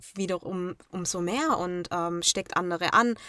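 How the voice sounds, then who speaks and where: Woman's bright, sharp tone, dry and close with no echo, in a very clean recording against a silent background. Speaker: travel blogger. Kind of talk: interview.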